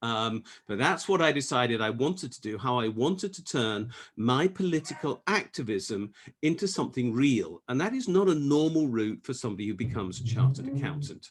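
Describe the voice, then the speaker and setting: With an English accent, a man talks at a fairly quick pace using lively intonation. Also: medium pitch for a man. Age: 60s. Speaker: economist and tax campaigner. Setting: video call.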